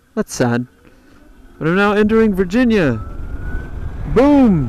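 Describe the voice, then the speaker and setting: A man talks fairly slowly, his voice carrying audible room echo with noticeable background noise underneath. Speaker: motorcycle travel vlogger. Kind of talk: casual vlog narration. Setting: outdoors on a motorcycle.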